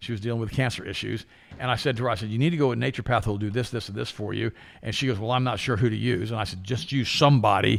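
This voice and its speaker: Packed with vocal fry, a man's medium-pitched voice races along at a very fast pace. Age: 60s. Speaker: health talk show host. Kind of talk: casual chat. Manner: animated.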